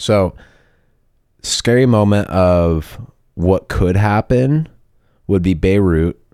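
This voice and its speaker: A man's very deep, low voice at a very slow pace with ordinary pitch variation, on a very clean recording with a silent background. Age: 30s. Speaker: tour manager. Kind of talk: casual chat.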